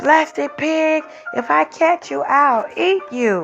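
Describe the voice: Over faint music in the background, a woman in a put-on character voice speaks at a slow pace with a high pitch, vocal fry, a fairly bright tone and ordinary pitch variation.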